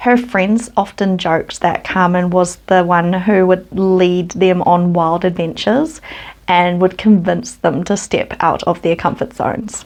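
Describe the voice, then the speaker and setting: In a New Zealand accent, a woman with a medium pitch speaks at a fairly slow pace. Her loudness stays very even and her intonation fairly even. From New Zealand, West Auckland. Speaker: true crime youtuber. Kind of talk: storytelling narration. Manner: casual, conversational.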